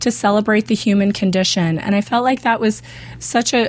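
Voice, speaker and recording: A woman's somewhat breathy voice sits at a fairly high pitch with ordinary pitch variation. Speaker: TV show host. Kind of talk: casual chat. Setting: studio. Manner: animated, joking.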